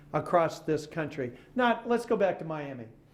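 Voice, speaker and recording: Audible room echo around a man with an American accent, moderate in pace. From Oklahoma. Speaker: author and former journalist. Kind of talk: public lecture. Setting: stage with audience. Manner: animated.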